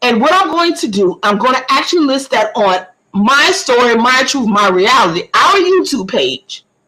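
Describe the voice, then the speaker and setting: With an American accent, this raised, projected voice moves at a moderate pace in an animated tone, with very wide pitch swings, very even loudness and hardly any pauses. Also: woman, high pitch for a woman. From US South, southeast Georgia (Camden County). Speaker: community information livestreamer. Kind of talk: livestream talk giving public information. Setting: multi-platform livestream.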